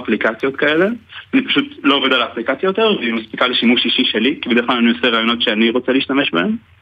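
A man rushes along at a very fast pace while noticeable background noise fills the clip. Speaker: soldier and app developer. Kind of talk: radio interview. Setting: phone call.

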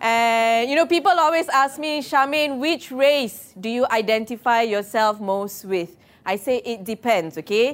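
Playful, fairly high female voice with lively intonation at a moderate pace. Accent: Malaysian. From Malaysia. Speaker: comedian. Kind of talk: stand-up comedy set performed live to an office crowd, punchline-driven. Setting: office stage with live audience. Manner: playful crowd work, tags lines with okay and yeah; stammers and restarts when building jokes.

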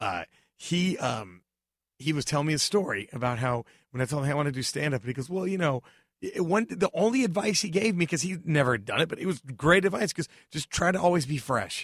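With an American accent, a man speaks very fast in a somewhat breathy, fairly high, animated voice, his pitch swinging very widely, on a very clean recording with a silent background and a dry, close sound with no echo. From Dallas, Texas. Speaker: stand-up comedian. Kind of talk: casual chat. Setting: studio.

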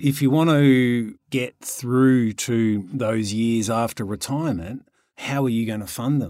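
In an Australian accent, a man speaks at a medium pitch with ordinary pitch variation. His tone is dark and mellow. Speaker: podcast co-host, property investor and author. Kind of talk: casual chat.

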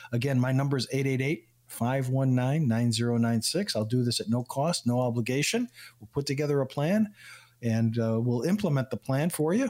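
A normal speaking voice from a man, medium in pitch, with ordinary pitch variation at a fairly quick pace. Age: 60s. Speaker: financial advisor and radio show guest expert. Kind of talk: radio talk show chat.

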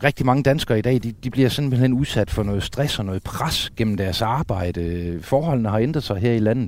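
A man with an ordinary speaking voice talks at a medium pitch and moderate pace, with ordinary pitch variation. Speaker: sea trout angler and river conservation chairman. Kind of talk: casual chat. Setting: outdoors on the coast at night.

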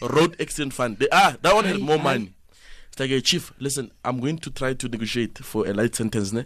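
With a South African accent, a man speaks at a fairly quick pace and medium pitch, his tone animated and his intonation lively. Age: 20s. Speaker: comedian. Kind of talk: comedic banter. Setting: studio.

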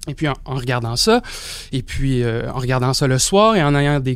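A man talks at a moderate pace. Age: young. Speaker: sociology doctoral student. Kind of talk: panel discussion. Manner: hesitant, many fillers.

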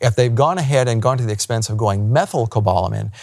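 Very fast and upbeat, a man talks in a somewhat breathy voice. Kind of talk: interview with scripted intro; infomercial ad read. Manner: salesy, upbeat, hard-sell pitch, brisk; friendly, affable.

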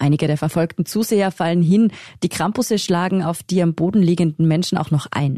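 A woman's fairly low, dark, mellow voice at a moderate pace with ordinary pitch variation over a quiet background. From Tyrol, Pitztal valley. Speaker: journalist, podcast co-host. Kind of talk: scripted narration.

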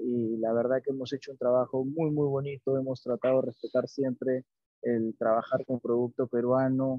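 A man's medium-pitched voice at a moderate pace, with flat, monotone intonation. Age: 40s. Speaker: chef. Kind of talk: interview. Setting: remote call. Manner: halting, many fillers.

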